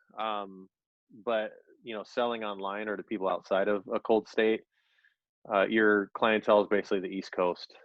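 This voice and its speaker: In a Californian accent, a man with a fairly low pitch speaks with long, frequent pauses. The sound is dry and close, with no echo and a quiet background. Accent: Californian, says rad and dude. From Southern California (Orange County). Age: 40s. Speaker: vintage clothing seller, former stand-up comedian. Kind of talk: casual chat.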